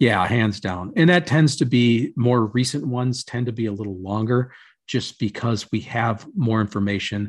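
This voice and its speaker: A man with an American accent talks at a moderate pace, with medium pitch and ordinary pitch variation. It is an ordinary speaking voice against a quiet background. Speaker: podcast host. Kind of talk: casual chat. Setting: video call.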